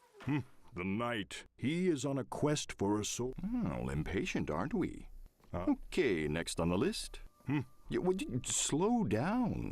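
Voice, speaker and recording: Using a put-on character voice, a man delivers lines in a theatrical, deadpan tone at a medium pitch and fairly slow pace. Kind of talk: game narrator. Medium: video game. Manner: wry, theatrical, deadpan humor.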